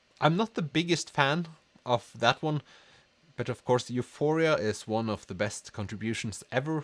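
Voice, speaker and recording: This man has a Norwegian accent and lively intonation at a moderate pace. The sound is dry and close with no echo. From Norway. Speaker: book youtuber. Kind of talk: livestream chat reading comments. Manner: halting.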